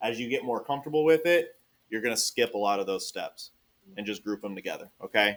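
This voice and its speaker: Speaking at a very fast pace with a slight Texas accent, a man sounds animated and uses ordinary pitch variation. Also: medium pitch for a man. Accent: Texas twang, slight. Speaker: math teacher. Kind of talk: classroom lesson. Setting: classroom with students.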